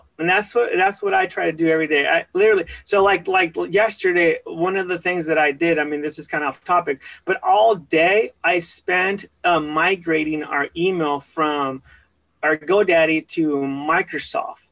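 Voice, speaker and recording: With an American accent, a high-pitched man speaks at a moderate pace and with fairly even intonation, recorded dry and close with no echo. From Washington state, US (born California). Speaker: insurance agency owner. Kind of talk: interview. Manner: halting, many fillers.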